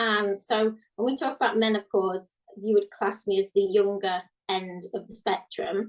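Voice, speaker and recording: A woman with a British accent. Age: 40s. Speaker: guest. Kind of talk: casual chat.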